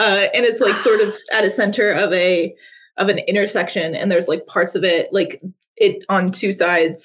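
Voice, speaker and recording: A woman with an American accent has a normal speaking voice, medium in pitch, with fairly even intonation, a moderate pace and very even loudness. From US South, Appalachia. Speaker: games journalist. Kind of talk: casual interview chat. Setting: video call stream.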